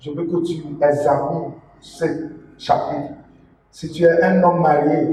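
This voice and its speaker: With a non-native accent, a man speaks very slowly in a fairly high, flat monotone, with long, frequent pauses, big swings in loudness, and audible room echo. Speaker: preacher. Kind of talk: sermon. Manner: halting.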